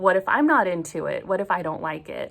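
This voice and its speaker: Using an ordinary speaking voice, a woman with an American accent talks at a moderate pace and medium pitch. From US, Oregon. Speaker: book vlogger. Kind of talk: personal confession vlog.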